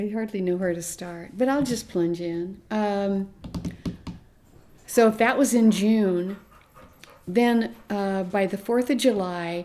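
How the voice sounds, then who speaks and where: With a Midwestern American accent, a woman speaks at a very slow pace, leaving long, frequent pauses. Her tone is dark and mellow, her pitch medium with ordinary variation. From US Midwest, rural Nebraska. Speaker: interviewee, grandmother. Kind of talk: personal interview testimony. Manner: halting, with restarts.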